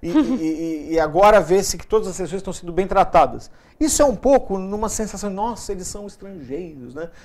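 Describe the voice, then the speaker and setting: Speech moves along at a fairly quick clip. Pauses are hardly there at all. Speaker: TV talk show host. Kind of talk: TV interview host talk.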